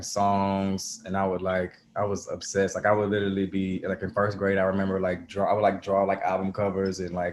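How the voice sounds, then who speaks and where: Speaking in an Atlanta accent, a man keeps a fairly low pitch and a monotone, flat intonation. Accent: Southern US (Atlanta). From Atlanta, US South. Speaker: musician. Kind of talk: casual interview.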